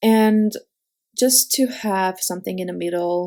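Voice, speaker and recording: On a very clean recording with a silent background, a woman with a non-native accent speaks at a medium pitch. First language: not English. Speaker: card-making crafter. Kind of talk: tutorial. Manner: halting, many fillers.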